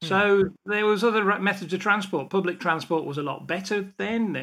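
A man with an English Midlands accent talks at a high pitch in a bright, sharp tone. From England, English Midlands. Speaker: automotive industry veteran and educator. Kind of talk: interview conversation.

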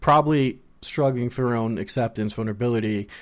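In a normal speaking voice, a man talks at a moderate pace with medium pitch and ordinary pitch variation on a very clean recording with a silent background. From US, child of Colombian immigrants. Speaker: podcast host and therapist. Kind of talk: casual interview chat.

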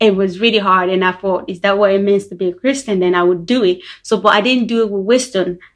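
Medium in pitch, a woman talks at a very fast pace with hardly any pauses. Her intonation stays fairly even. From Liberia. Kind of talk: testimony.

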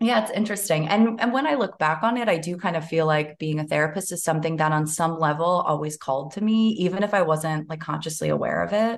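Speaking very fast with hardly any pauses, a woman uses a fairly low pitch and ordinary pitch variation. Noticeable background noise is present. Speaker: therapist. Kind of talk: casual chat.

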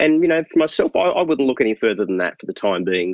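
A man speaks with an Australian accent. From Tasmania, Australia (Hobart). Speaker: marketing consultant. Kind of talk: interview.

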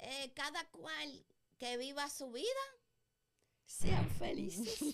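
A woman speaks at a very slow pace with long, frequent pauses. Her high voice makes very wide pitch swings. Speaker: podcast co-host. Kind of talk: casual chat.

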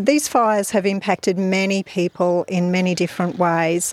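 Someone with an Australian accent speaks at a moderate pace with fairly even intonation, the sound dry and close with no echo. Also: woman. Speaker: mental health social worker and podcast host. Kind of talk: interview. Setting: outdoors in a park.

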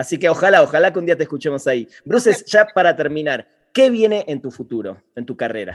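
Talking at a very fast pace in a Rioplatense accent, a man uses a fairly high pitch with very wide pitch swings. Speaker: podcast host. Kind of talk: interview. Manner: voseo, casual.

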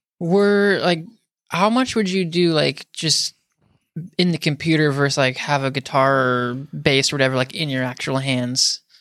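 A man with an American accent uses an ordinary speaking voice at a fairly high pitch and moderate pace, with ordinary pitch variation and a dry, close sound with no echo. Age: 30s. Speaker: podcast host. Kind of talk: casual chat. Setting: video call.

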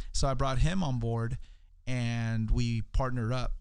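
A plain, everyday voice from a man, pitched in the middle range and varying in pitch the usual amount. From California (East LA, Salinas area), Mexican-American family. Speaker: entrepreneur, public speaker. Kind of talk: podcast interview. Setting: studio.

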